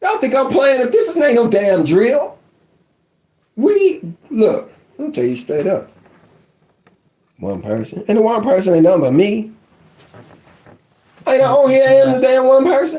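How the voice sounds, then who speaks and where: A man speaks loudly in an American accent, at an extremely high pitch with very wide pitch swings. His pace is moderate, with long, frequent pauses. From West Virginia. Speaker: online life coach. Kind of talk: casual live-stream rant. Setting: live stream. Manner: animated.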